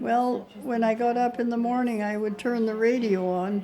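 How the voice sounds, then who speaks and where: Her pitch is fairly high, and she speaks at a moderate pace in a flat monotone. Noticeable background noise sits behind the woman's voice. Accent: Canadian. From Canada. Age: 80s+. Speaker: elderly mother. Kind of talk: casual interview. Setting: care home visit.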